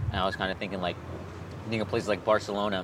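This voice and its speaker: A man speaks with a Californian accent. His pace is very fast and his pitch fairly low. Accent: sounds Californian. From Chicago (Honduran family). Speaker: skateboarder. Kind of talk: casual chat.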